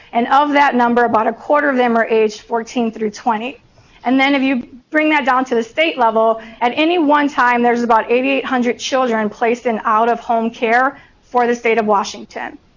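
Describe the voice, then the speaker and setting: A woman with an American accent speaks at a high pitch with fairly even intonation amid noticeable background noise. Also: fairly quick pace. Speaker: presenter speaking about foster care youth and education. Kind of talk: formal presentation. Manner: measured, with frequent filler "um" pauses.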